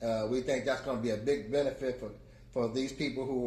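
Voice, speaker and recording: Audible room echo surrounds a man speaking fairly quickly at a medium pitch with fairly even intonation. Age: 70s. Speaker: community advocate. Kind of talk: testimony. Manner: halting.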